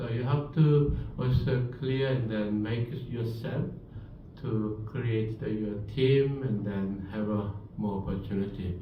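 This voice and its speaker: In a room with audible echo, a man with a Korean accent speaks at a very slow pace and a medium pitch. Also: ordinary pitch variation. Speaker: professor. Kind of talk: lecture.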